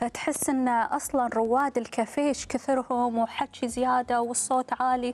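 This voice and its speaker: At a moderate pace and with hardly any pauses, a woman talks in a high pitch, her loudness very even and her intonation monotone and flat. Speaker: TV presenter. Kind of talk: talk show host chat. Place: studio. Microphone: lapel.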